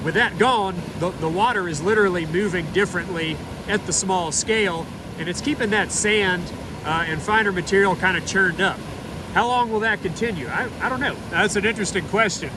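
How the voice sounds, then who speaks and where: Noticeable background noise accompanies a man talking at a fairly quick pace. His voice is raised and projected, with ordinary pitch variation. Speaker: geologist. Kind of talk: casual talk to camera outdoors. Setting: outdoors.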